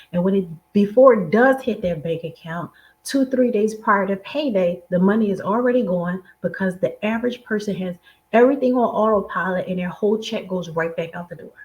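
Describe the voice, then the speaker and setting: A woman with an American accent speaks fairly quickly in a somewhat breathy, medium-pitched voice with ordinary pitch variation and big swings in loudness. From Philadelphia, US. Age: 40s. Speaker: money mindset coach. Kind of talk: motivational talk.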